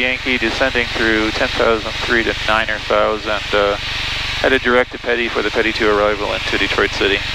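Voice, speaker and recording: Loud background noise surrounds a man who talks at a fairly quick pace with hardly any pauses. The sound itself is dry, with no echo. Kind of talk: radio calls and commentary. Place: plane. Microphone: headset.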